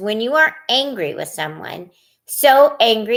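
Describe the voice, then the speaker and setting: A woman speaks very slowly in a put-on character voice. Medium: read story. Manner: calm, patient.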